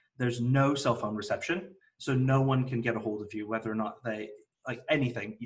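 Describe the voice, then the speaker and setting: With an American accent, a man talks at a fairly quick pace, his medium pitch and fairly even intonation holding throughout. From California, Central Valley (US). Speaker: developer evangelist. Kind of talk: virtual meetup talk.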